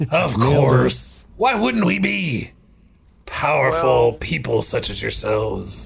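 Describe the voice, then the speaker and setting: A raspy, put-on character voice from a man, delivered at a fairly slow pace. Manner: warm, friendly, welcoming.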